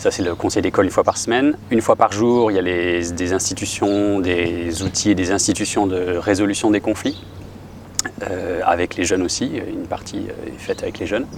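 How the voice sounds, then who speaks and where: Against noticeable background noise, a man speaks at a moderate pace with a fairly low pitch and fairly even intonation. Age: 40s. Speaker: music teacher and school founder. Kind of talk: interview.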